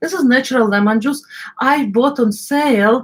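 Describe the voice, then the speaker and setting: A woman with an Eastern European accent speaks in a somewhat breathy voice with lively intonation. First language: non-native English. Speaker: cooking channel host. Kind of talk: live cooking stream. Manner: halting, many fillers.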